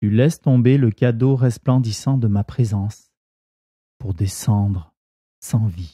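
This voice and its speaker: In a very clean recording with a silent background, a man speaks at medium pitch and a very slow pace, his tone gentle, calm, dark and mellow, somewhat breathy, with ordinary pitch variation and long, frequent pauses. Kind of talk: guided meditation; reading aloud of devotional text and scripture. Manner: slow, calm, soothing; gentle, reverent, measured.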